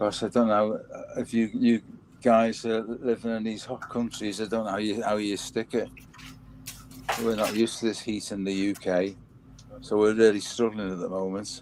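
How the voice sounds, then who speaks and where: At a moderate pace, a man with a fairly low pitch talks in a flat monotone, taking long, frequent pauses while his loudness swings widely. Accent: Liverpool. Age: 80s. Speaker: Elvis fan and record collector. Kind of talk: casual chat. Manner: halting, with repeated words.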